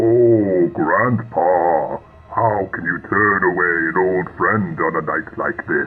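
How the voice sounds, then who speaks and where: Over clear background noise, a man puts on a character voice, speaking at a fairly slow pace with fairly low pitch. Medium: audio drama. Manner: theatrical, menacing.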